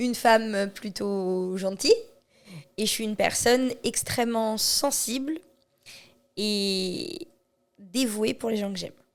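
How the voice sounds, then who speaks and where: Long, frequent pauses break up a woman's very slow speech. Her pitch sits fairly high, with ordinary variation. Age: 30s. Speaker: charity association president. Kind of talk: podcast interview. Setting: association premises.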